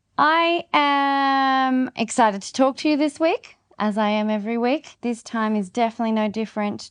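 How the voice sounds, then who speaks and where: A woman's voice with very wide pitch swings at a fairly slow pace, dry and close with no echo, over a quiet background. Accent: Australian. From Australia. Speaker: podcast host, gardening and regenerative living. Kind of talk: casual solo podcast talk.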